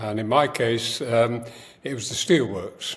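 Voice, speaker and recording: A man speaks in a Yorkshire accent with ordinary pitch variation. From northern England, Sheffield. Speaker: writer and producer. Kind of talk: podcast interview. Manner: halting, many fillers.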